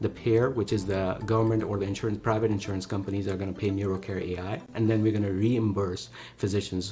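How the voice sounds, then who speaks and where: Speaking very fast with a Pakistani accent, a man uses a fairly low pitch and ordinary pitch variation. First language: Urdu. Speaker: neurologist and startup co-founder. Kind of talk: investor pitch.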